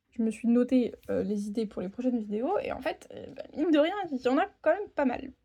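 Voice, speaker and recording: Her pitch is high and swings very widely. The woman talks at a fairly quick pace with hardly any pauses. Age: 20s. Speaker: budgeting vlogger and home care worker. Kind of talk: casual vlog monologue. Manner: hesitant, many fillers.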